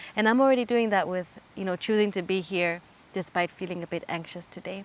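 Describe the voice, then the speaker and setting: A woman speaks at medium pitch with a German accent. Her pace is moderate. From Switzerland and Kenya. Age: 20s. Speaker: YouTuber. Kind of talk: casual Q&A vlog.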